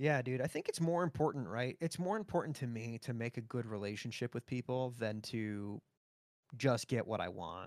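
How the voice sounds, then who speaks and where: An unremarkable speaking voice from a man, medium in pitch, at a moderate pace, with a dry, close sound and no echo. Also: lively intonation. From Florida. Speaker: audio lead in games. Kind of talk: casual interview chat.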